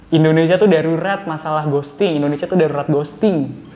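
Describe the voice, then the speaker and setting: A man with a fairly high pitch talks at a fairly quick pace with fairly even intonation, over noticeable background noise and audible room echo. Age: 20s. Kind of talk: street interview.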